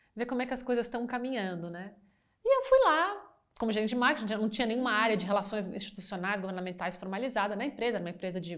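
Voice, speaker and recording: A woman rushes along at a very fast pace, her fairly high pitch varying in an ordinary way. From Brazil, Brasília. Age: 50s. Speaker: business executive. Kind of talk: interview. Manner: halting.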